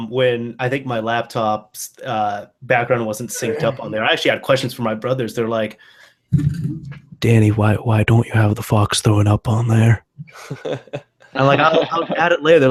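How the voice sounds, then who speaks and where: A man talks at a moderate pace at a medium pitch with fairly even intonation. It is a normal speaking voice. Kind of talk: conversational storytelling.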